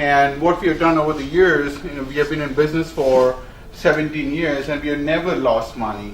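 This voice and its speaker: The speaker talks at a fairly quick pace in an Indian accent. Noticeable background noise and audible room echo fill the recording. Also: man. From India, Bombay. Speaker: company executive. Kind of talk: speech. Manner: many fillers and hesitations.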